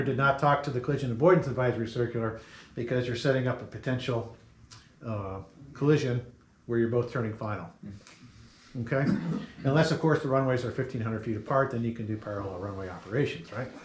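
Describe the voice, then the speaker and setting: Amid noticeable background noise and audible room echo, a man with a medium-pitched voice speaks at a very fast pace. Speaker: safety presenter, glider pilot. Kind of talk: safety briefing presentation.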